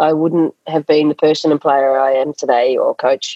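Very deep, low-pitched speech from a woman with an Australian accent, at a moderate pace with fairly even intonation. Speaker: hockey coach and former Olympic player. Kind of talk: interview. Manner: halting, with many repeated words.

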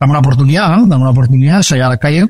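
A man speaks with a Castilian accent and ordinary pitch variation. His voice is somewhat breathy. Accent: Spanish (Spain) Castilian. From Spain, Valencia. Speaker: startup founder and CEO. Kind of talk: interview. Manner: halting, many fillers and repetitions.

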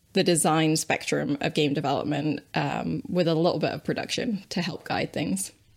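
A woman speaks at a moderate pace with vocal fry and ordinary pitch variation. The recording is very clean, with a silent background. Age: 30s. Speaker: game accessibility designer. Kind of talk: interview.

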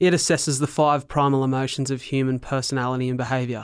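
This is a man talking. He has an Australian accent. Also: very clean recording, silent background. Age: 20s. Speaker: keynote speaker with cystic fibrosis. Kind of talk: podcast interview, personal storytelling.

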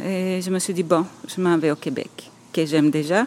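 Her pitch is fairly low for a woman, with ordinary variation. She talks at a moderate pace. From El Salvador. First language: Spanish (speaking French). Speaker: architect and writer. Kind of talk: interview, personal storytelling. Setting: on location walking around Montreal. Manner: halting, repeats words.

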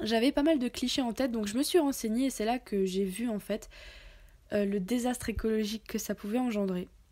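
At a moderate pace, a woman with a fairly high pitch and a dark, mellow tone sounds somewhat breathy, with ordinary pitch variation, on a very clean recording with a silent background. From France. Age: 20s. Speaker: podcaster. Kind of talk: personal testimony monologue. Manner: casual with frequent hesitations.

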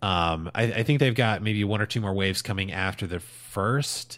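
A man's fairly low, bright, sharp voice with an American accent, on a very clean recording with a silent background. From northern US. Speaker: podcast host. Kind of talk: casual banter podcast chat. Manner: joking, comedic.

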